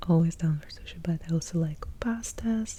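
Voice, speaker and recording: Soft-spoken and somewhat breathy, the voice moves at a fairly slow pace with a relaxed, dark, mellow tone and ordinary pitch variation. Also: woman. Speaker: ASMR content creator. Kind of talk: casual talk to camera, Q&A. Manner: soft-spoken, lo-fi, relaxed.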